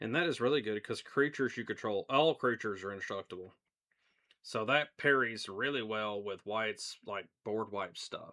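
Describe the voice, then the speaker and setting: A man with an American accent speaks at a moderate pace and medium pitch with ordinary pitch variation, his tone relaxed as well as bright and sharp, on a very clean recording with a silent background. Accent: country, hickish. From US South. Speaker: gaming streamer. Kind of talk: casual live stream chat. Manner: relaxed, conversational.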